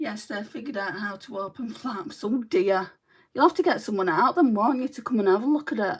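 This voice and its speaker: Somewhat breathy and at a fairly slow pace, this speaker uses lively intonation in a Mancunian accent. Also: woman. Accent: sounds Mancunian. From northern England, Lancashire. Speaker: beauty vlogger. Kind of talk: livestream makeup tutorial chat. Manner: chatty.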